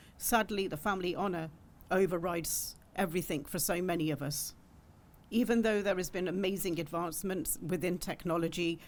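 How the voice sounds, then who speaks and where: A woman's fairly low voice with a British accent, fairly quick pace and fairly even intonation, plus audible room echo. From UK. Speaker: women's rights campaigner. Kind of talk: panel talk. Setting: conference panel with audience.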